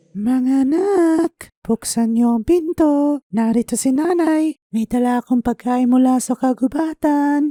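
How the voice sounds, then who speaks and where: A soft-spoken, put-on character voice moves at a very slow pace. It has hardly any pauses. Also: woman, high pitch for a woman. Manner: gentle, softened.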